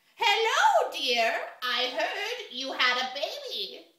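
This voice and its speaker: A woman speaks very slowly in a put-on character voice with an extremely high pitch and very wide pitch swings, carrying a slight echo. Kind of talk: children's storytelling.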